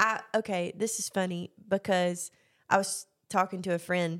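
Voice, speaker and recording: A woman speaks at medium pitch with a Southern US accent. She keeps a fairly slow pace. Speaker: podcast host. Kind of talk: casual chat.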